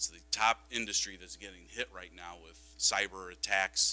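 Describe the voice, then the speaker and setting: Over music in the background, a man with a very deep, low voice speaks with lively intonation. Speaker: school district technology director. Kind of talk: board presentation. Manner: casual with frequent fillers.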